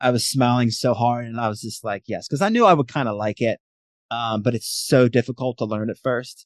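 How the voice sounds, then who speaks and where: Heard here is an ordinary speaking voice with an American accent. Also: man, medium pitch for a man, fairly even intonation, fairly quick pace. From Pittsburgh, US. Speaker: former prisoner sharing addiction recovery story. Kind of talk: casual interview chat.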